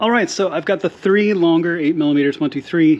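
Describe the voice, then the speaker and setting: This man's speech runs at a fairly quick clip, and his pitch varies in an ordinary way. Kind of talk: tutorial. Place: garage. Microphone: phone near.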